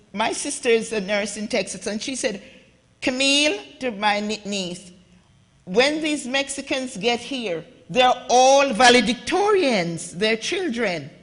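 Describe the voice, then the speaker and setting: Speaking at a fairly slow pace, a woman with a Jamaican accent uses a high pitch, lively intonation and an animated tone. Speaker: immigrant advocate and author, conference panelist. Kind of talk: conference talk. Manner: animated, impassioned.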